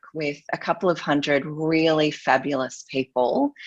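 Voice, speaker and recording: A woman talks with an Australian accent at a very deep, low pitch. Her pace is moderate, with ordinary pitch variation. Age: 40s. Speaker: luxury marketing expert. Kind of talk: interview.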